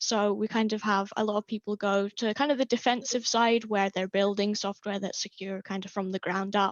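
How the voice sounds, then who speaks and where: At a fairly quick pace with hardly any pauses, a woman of medium pitch speaks in a monotone, flat intonation. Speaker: university student. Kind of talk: podcast interview.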